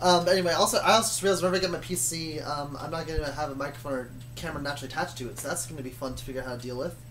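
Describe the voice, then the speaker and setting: Very fast speech with hardly any pauses over noticeable background noise. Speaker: YouTuber telling a story. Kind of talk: casual storytelling chat. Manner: slurred words. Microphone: laptop mic, not great.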